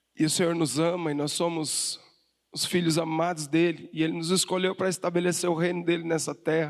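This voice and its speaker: Talking at a fairly quick pace, a high-pitched man keeps a flat monotone. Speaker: pastor. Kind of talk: sermon.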